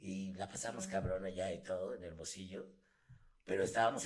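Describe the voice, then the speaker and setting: A fairly quick-paced man's voice, very deep and low in pitch. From Mexico City. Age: 40s. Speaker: voice actor. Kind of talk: casual chat. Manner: loud.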